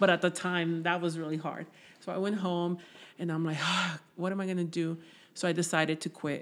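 In a Spanish accent, the speaker talks at a moderate pace in a flat monotone on a very clean recording with a silent background. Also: woman. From Mexico, raised in Southern California. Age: 30s. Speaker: guest sharing life story, DACA recipient. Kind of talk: casual interview, personal life story.

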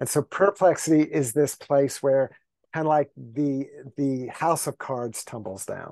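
Speaking at a fairly slow pace, a man has an unremarkable speaking voice pitched fairly high. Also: ordinary pitch variation, quiet background. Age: 60s. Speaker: contemplative teacher and spiritual writer. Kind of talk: casual interview conversation.

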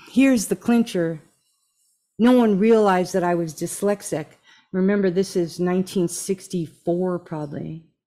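A woman's medium-pitched, dark, mellow voice with an American accent, ordinary pitch variation and a moderate pace. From New Jersey. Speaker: podcast host. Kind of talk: live interview. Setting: live stream. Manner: warm, effusive.

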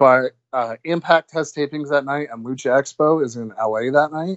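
A moderate pace and ordinary pitch variation from a man with an unremarkable speaking voice. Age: 20s. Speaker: wrestling promoter. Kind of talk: casual chat.

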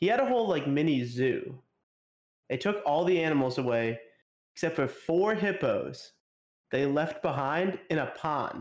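A man's fairly high voice at a moderate pace, with lively intonation, very even loudness, long and frequent pauses, and a very clean recording over a silent background. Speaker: podcast co-host. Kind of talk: casual chat.

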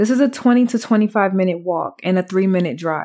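In a very clean recording with a silent background, a normal speaking voice proceeds at a fairly slow pace with ordinary pitch variation. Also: woman. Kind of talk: true-crime narration.

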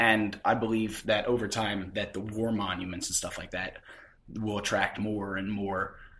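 In an American accent, a man speaks at a fairly low pitch with a bright, sharp tone and monotone, flat intonation. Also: moderate pace. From Philadelphia suburbs, US. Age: 20s. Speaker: podcast host. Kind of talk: interview. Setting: on location.

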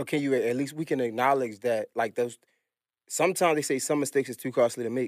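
On a very clean recording with a silent background, a man of medium pitch talks at a very fast pace. His intonation stays fairly even. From Baltimore. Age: 30s. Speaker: podcast host. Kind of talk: casual interview. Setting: studio.

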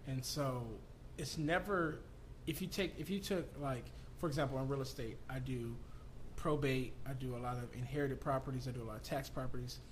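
With an American accent, a man at medium pitch talks at a fairly quick pace with ordinary pitch variation and vocal fry, and audible room echo is heard. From Southern California. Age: 30s. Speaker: entrepreneur and real estate investor. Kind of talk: casual interview. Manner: animated.

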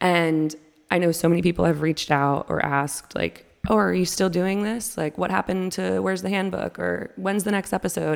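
A woman speaks at a moderate pace with lively intonation and vocal fry. The recording is very clean, with a silent background. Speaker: podcast host. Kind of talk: casual monologue. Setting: home kitchen table, some echo. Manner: animated.

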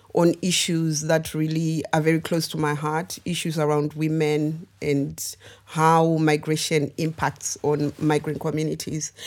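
Speaking at a fairly slow pace, a woman uses a very deep, low pitch with monotone, flat intonation. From Zimbabwe. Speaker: artist and arts organisation founder. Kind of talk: panel discussion.

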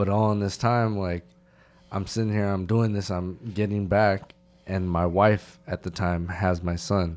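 A man's ordinary speaking voice with an American accent, fairly low in pitch, fairly slow, with fairly even intonation. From California. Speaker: army veteran. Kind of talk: casual interview. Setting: hotel room recording.

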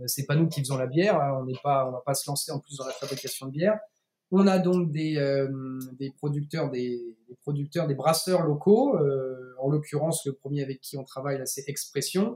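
In a plain, everyday voice, a man speaks at a moderate pace, his pitch fairly high with ordinary pitch variation. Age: 30s. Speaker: CBD producer and entrepreneur. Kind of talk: interview.

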